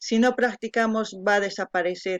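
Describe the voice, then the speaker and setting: Speaking with an Andean accent, a woman goes at a very slow pace. Her intonation is fairly even. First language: Quechua (speaking Spanish). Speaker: video reactor. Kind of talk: reaction commentary. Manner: halting.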